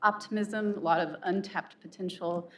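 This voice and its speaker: Soft-spoken, a woman talks at a medium pitch with ordinary pitch variation. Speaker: faculty senate president, professor. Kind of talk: formal address at faculty meeting.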